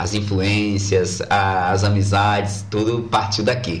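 A man speaks at a fairly low pitch and a very slow pace over noticeable background noise. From Brazil, Bahia (Feira de Santana). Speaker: musician and comedian. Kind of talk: casual interview chat. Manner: halting, repeated words.

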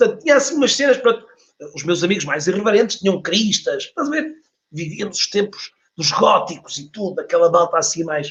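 A man with a high pitch, speaking fairly fast, his pitch swinging very widely. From Portugal, Porto. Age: 40s. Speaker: LinkedIn trainer and author. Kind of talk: casual interview. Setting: online live stream.

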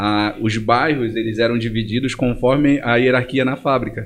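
Speaking fairly quickly at a medium pitch, a man has a normal speaking voice. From Brazil, Pará (Belém and Monte Dourado). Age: 30s. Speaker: entrepreneur. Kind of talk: casual interview.

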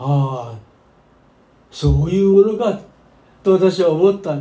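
Audible room echo surrounds a man's voice. His tone is dark and mellow, with ordinary pitch variation. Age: 90s. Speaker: pastor. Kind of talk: sermon.

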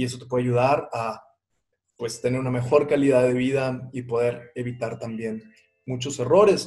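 Somewhat breathy, a man talks at a moderate pace and a medium pitch with fairly even intonation. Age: 40s. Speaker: parenting podcast host. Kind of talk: podcast monologue.

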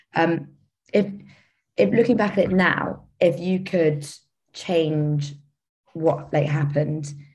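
A woman with a very deep, low pitch speaks in a somewhat breathy voice with fairly even intonation. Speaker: student podcast host. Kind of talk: interview.

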